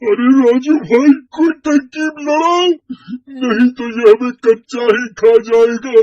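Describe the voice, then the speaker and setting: A man's cartoonish character voice, extremely high-pitched, at a fairly slow pace, with a dry, close sound and no echo. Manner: loud, excitable.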